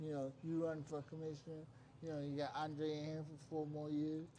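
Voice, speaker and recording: There is audible room echo around this somewhat breathy man, whose voice has a dark, mellow tone and a fairly high pitch. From West Virginia. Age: 70s. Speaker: stream host. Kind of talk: casual chat.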